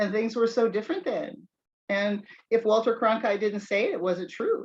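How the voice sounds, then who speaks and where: With ordinary pitch variation, a woman uses an ordinary speaking voice pitched fairly high. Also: moderate pace. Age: 60s. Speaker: video channel host. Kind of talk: casual chat.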